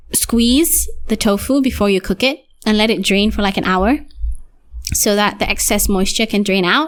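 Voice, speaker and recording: With vocal fry, a woman speaks at a very even loudness. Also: medium pitch for a woman, ordinary pitch variation, moderate pace. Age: 20s. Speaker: podcast host. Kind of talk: casual chat. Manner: halting, pauses in odd places.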